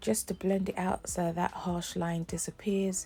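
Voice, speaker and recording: Dark and mellow, this woman's voice is somewhat breathy. She speaks at a fairly slow pace. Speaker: beauty vlogger. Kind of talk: makeup tutorial. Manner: casual, conversational.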